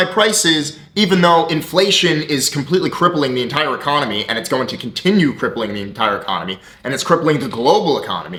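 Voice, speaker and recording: Shouting loudly in an animated tone, a man talks at a fairly quick pace over noticeable background noise. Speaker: business coach and entrepreneur. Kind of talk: motivational rant to camera. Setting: talking to camera. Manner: loud, yelling.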